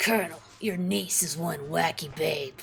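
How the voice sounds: A put-on character voice at middle pitch comes through against clear background noise. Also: moderate pace.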